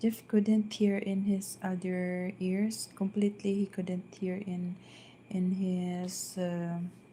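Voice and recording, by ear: A soft-spoken woman talks slowly in a dark, mellow tone, her fairly low pitch showing little movement.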